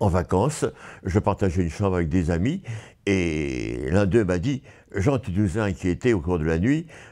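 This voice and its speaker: A man's very deep, low voice with vocal fry, a dark, mellow tone and very wide pitch swings, on a very clean recording with a silent background. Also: fairly slow pace, big swings in loudness. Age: 80s+. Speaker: patient. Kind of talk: interview testimony. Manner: halting, repeating words.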